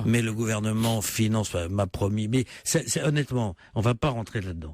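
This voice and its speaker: A man talks at a fairly quick pace, his pitch medium with ordinary variation. The recording is very clean, with a silent background. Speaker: politician. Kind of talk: radio interview answer. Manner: persuasive, salesman-like.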